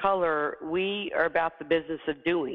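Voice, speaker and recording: A woman with an American accent and a normal speaking voice, fairly low in pitch, at a moderate pace. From US South. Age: 50s. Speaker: CEO and leadership coach. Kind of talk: interview. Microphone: poor audio.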